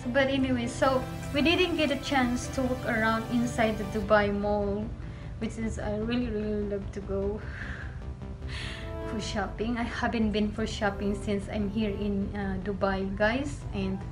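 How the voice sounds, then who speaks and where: Clear music plays in the background while the speech moves at a fairly slow pace. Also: woman. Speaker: travel vlogger. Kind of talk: casual vlog chat. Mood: cheerful, laughs often. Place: home room. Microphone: phone near.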